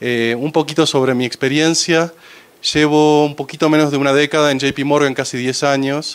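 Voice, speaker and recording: In an Argentine accent, a man speaks at a moderate pace with a fairly high pitch and monotone, flat intonation. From Argentina. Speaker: finance executive. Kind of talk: presentation to audience. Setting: panel talk with audience. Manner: hesitant, many fillers.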